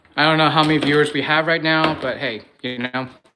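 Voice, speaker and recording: Here a man talks at a fairly quick pace, his pitch fairly high. His intonation stays fairly even, and there is noticeable background noise. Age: 20s. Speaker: livestreamer, sport stacker. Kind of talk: casual livestream chat.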